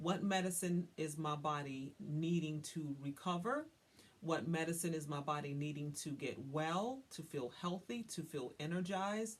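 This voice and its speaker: A woman's very deep, low voice with a slight Southern US accent, a fairly slow pace and ordinary pitch variation. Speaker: wellness coach. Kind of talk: tutorial. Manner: casual, conversational with frequent fillers.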